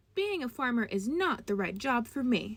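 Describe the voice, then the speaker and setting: Using a put-on character voice, a woman speaks high at a moderate pace. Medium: read story.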